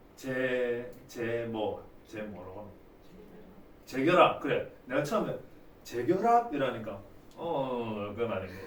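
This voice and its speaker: Amid noticeable background noise and audible room echo, a man at a medium pitch speaks very slowly with long, frequent pauses, lively intonation and big swings in loudness. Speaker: math teacher. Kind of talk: lecture. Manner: casual, joking.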